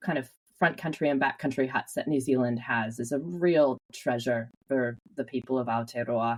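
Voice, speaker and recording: A woman with a Canadian accent, very deep and low in pitch, with ordinary pitch variation and a moderate pace. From Western Canada, British Columbia. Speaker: conservation charity chief executive. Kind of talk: podcast interview.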